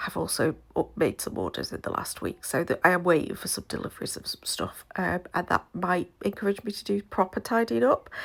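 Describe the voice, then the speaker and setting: A woman whispers with a British accent. Her pace is fairly quick. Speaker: scrapbooker. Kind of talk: casual talk to camera.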